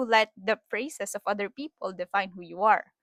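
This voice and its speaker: The sound is dry and close with no echo, and the intonation stays fairly even. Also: woman, very clean recording, silent background. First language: Filipino (Tagalog). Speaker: podcaster. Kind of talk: casual monologue. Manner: halting, many repetitions. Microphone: new wireless microphone.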